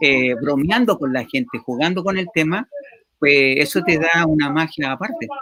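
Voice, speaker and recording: The man keeps a moderate pace, his fairly high voice varying in pitch in an ordinary way. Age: 50s. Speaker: talk show host. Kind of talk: interview. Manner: halting.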